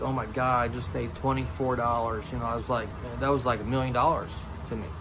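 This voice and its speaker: Music runs in the background behind a man. His pitch is medium, with ordinary variation. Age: 50s. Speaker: retired Army Special Forces veteran. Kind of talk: casual talk to camera. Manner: blunt, plain-spoken.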